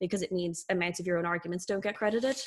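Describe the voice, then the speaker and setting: The woman speaks with fairly even intonation. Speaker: debate adjudicator. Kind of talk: spoken feedback on a debate. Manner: fast.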